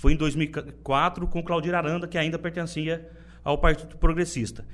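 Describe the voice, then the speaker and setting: A man talks at a fairly high pitch with vocal fry. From Brazil, interior of São Paulo state (Buritama). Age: 30s. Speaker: politician, party leader. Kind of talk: interview. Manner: halting, many repetitions.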